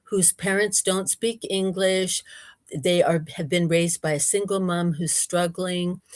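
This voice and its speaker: A woman's unremarkable speaking voice in an American accent, medium in pitch, at a fairly slow pace with fairly even intonation, in a very clean recording with a silent background and a dry, close sound with no echo. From United States. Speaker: researcher and speaker. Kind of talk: interview. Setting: livestream.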